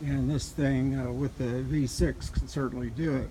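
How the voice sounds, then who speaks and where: A man is speaking. Background noise is noticeable. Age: 60s. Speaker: vehicle owner reviewing his truck. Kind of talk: casual video review. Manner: hesitant, many fillers.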